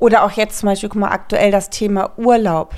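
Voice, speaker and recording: The woman has a normal speaking voice at a medium pitch. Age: 40s. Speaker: podcast co-host, mother of eight. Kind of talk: casual chat.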